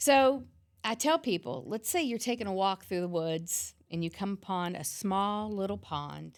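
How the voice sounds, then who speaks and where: Recorded very cleanly against a silent background, a woman speaks at a moderate pace in an ordinary speaking voice. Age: 50s. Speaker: fitness trainer and yoga instructor. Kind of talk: podcast interview.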